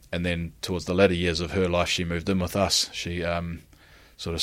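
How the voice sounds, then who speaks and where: A man speaks at a fairly quick pace with a New Zealand accent and a very deep, low pitch. The recording is very clean, with a silent background. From New Zealand, Christchurch. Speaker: rugby player. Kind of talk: interview. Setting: in Japan.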